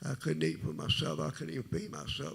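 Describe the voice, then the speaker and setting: This man's voice is quiet. His pitch swings very widely. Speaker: testimony speaker. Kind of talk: testimony. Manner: low, quiet.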